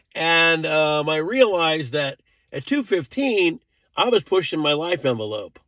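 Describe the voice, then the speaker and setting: A man's fairly high, bright, sharp voice at a fairly slow pace, with very wide pitch swings, on a very clean, dry, close recording with a silent background and no echo. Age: 70s. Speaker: vlogger. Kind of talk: casual monologue. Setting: at home. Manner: rambling conversational.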